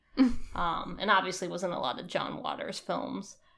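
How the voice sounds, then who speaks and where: Her voice fairly low in pitch, a woman speaks with vocal fry. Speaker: podcast co-host. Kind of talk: casual chat.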